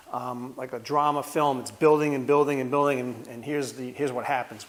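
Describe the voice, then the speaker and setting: Speaking at a fairly quick pace with a Rhode Island accent, the man has a fairly high pitch, and noticeable background noise can be heard. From US Northeast, Rhode Island. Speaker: martial arts instructor. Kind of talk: tutorial. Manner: casual.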